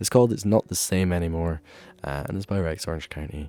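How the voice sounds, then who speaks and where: In an Ayrshire accent, a man with a dark, mellow tone speaks at a fairly quick pace with ordinary pitch variation, on a very clean recording with a silent background. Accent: Scottish, Ayrshire. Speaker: student radio host. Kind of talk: radio show sign-off. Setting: radio studio. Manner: casual, filler-heavy.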